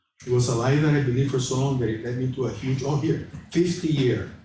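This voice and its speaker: Audible room echo surrounds a man whose medium-pitched voice has a dark, mellow tone and sounds somewhat breathy. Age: 60s. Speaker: class leader sharing personal testimony. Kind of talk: testimony.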